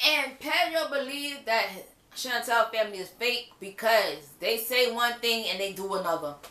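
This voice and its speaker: Over noticeable background noise, the speaker uses an animated tone and lively intonation at a moderate pace. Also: woman, fairly high pitch for a woman. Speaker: reality TV reviewer. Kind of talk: casual video review monologue. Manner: loud.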